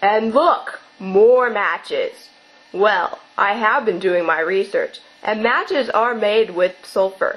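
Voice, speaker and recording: A female-sounding voice performs a put-on character voice. It is fairly high in pitch and fairly slow in pace. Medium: audio drama. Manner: excitable, gee-whiz.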